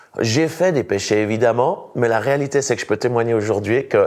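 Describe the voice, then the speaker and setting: A man with a Swiss accent speaks at a medium pitch. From Switzerland. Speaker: evangelist and pastor. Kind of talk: testimony.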